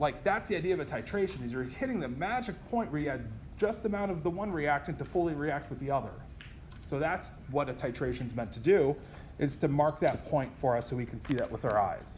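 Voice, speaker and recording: With audible room echo, a man speaks at a fairly quick pace, his fairly high pitch carried by lively intonation. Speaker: chemistry lecturer. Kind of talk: lecture. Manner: fast.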